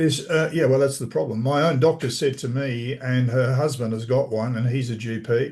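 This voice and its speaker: A man talks at a fairly quick clip with hardly any pauses, his voice somewhat breathy. His intonation stays fairly even against a quiet background. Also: medium pitch for a man. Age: 80s+. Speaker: inventor and store owner. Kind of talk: casual chat on video call. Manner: halting.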